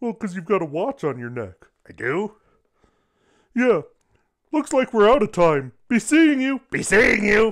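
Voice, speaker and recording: A cartoonish character voice with a fairly high pitch at a moderate pace. Long pauses come often. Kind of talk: improvised comedy dialogue. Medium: puppet.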